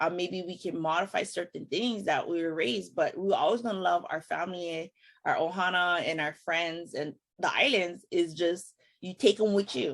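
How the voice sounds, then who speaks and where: This woman speaks with a Hawaiian accent. Her pitch is fairly low. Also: ordinary pitch variation, moderate pace. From Hawaii (Kauai). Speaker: podcast host. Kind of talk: casual chat. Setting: video call.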